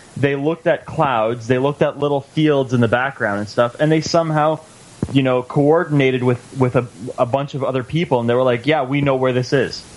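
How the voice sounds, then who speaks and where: Over noticeable background noise, a man with a medium pitch talks at a fairly quick pace with fairly even intonation. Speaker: radio co-host. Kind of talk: casual banter, talk radio.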